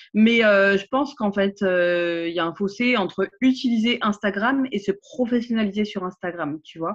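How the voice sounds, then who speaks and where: Big swings in loudness mark a woman's medium-pitched voice, which moves at a fairly slow pace with hardly any pauses and ordinary pitch variation. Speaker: social media trainer and coach. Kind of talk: casual interview chat. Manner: animated, engaged.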